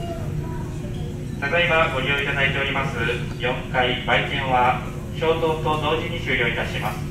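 A man at a fairly slow pace, with audible room echo and noticeable background noise. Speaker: ship crew announcer. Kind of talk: public address announcement.

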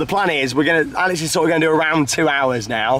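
A man talks at a fast pace with a fairly high pitch and a fairly bright tone. His pitch varies an ordinary amount, with faint background noise.

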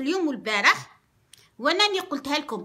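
A woman's raised, projected voice, high in pitch, bright and sharp, with an animated tone and very wide pitch swings. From Algeria. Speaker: radio host. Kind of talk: casual rant to audience, code-switching. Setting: online video, address to viewers. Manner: animated, emphatic. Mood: defiant, proud. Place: home room. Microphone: phone near.

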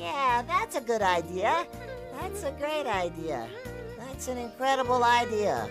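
A cartoonish character voice, female-sounding and high-pitched for a woman. She speaks at a fairly slow pace over clear music in the background. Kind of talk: children's puppet show.

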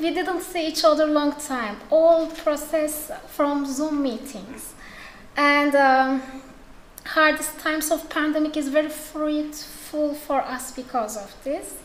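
A woman with a Turkish accent speaks very slowly at a high pitch with fairly even intonation, with light background noise and audible room echo. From Turkey. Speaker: editor; conference speaker. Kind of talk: conference talk. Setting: stage with audience. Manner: halting. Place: hall. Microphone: podium.

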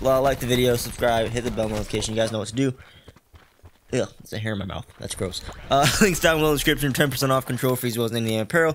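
A man with a medium pitch and ordinary pitch variation is heard over noticeable background noise. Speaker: gaming YouTuber. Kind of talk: gameplay commentary. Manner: casual, filler-heavy.

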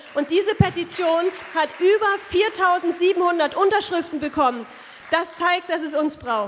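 With light background noise behind her, a woman talks at a very slow pace in an extremely high pitch with ordinary pitch variation. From Saxony. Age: 30s. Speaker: politician. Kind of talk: campaign speech. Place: hall. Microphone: podium.

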